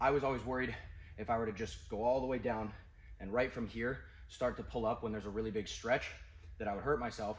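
The man's voice comes out somewhat breathy. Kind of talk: tutorial. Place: gym. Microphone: camera far.

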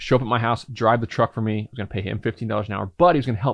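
A man talking at a very fast pace, dry sound with no echo, quiet background. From US Midwest, southern Indiana. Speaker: entrepreneur and podcast host; podcast host. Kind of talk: personal storytelling monologue. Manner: casual, filler-heavy. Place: home room. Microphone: studio mic.

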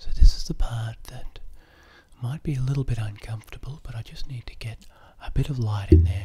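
Soft-spoken, a man talks at a moderate pace. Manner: soft-spoken, hushed close-up voice. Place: home room. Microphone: webcam.

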